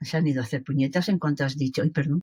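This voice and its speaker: This woman's voice is very deep and low in pitch. It sounds somewhat breathy. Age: 70s. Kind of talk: interview answer.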